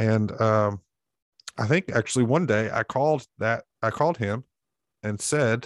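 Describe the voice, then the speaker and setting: A man with an Alabama accent talks in a fairly low pitch with ordinary pitch variation, the sound dry and close with no echo against a quiet background. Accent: Southern US (Alabama). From US South, Alabama (Montevallo, south of Birmingham). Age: 40s. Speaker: pastor. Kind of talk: casual interview.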